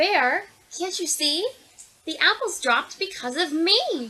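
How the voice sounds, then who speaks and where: A woman speaks in a put-on character voice with an extremely high pitch. Her pace is fairly slow. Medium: read story.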